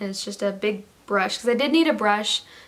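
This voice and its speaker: Noticeable background noise accompanies a woman who talks at a fairly quick clip. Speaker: beauty vlogger. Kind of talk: haul video. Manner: casual, halting with fillers.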